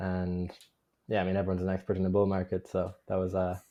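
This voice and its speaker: A man with an Irish accent speaks in a fairly low voice. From Ireland. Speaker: remote sales closer. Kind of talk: interview.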